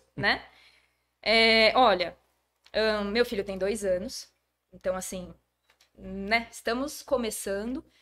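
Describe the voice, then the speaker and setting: A woman at a medium pitch and fairly slow pace, her tone bright and sharp, in a very clean recording with a silent background. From Brazil, Jundiaí (São Paulo state). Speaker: schoolteacher and historian. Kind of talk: casual podcast interview.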